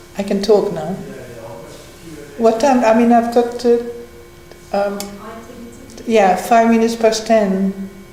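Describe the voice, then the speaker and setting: Fairly high-pitched woman's speech at a fairly slow pace, broken by long, frequent pauses, with audible room echo and noticeable background noise. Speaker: meditation and Dhamma talk leader. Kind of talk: casual chat. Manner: halting.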